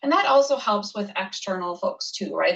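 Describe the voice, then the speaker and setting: A woman speaks at a fairly quick pace. Noticeable background noise sits behind her. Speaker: software trainer. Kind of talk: tutorial. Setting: video call. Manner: fast.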